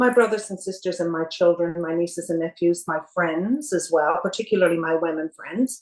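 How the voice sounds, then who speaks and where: A woman with a Canadian accent and an unremarkable speaking voice talks at a moderate pace with a fairly low pitch and ordinary pitch variation. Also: hardly any pauses. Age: 60s. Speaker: cancer survivor. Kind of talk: interview. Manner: calm.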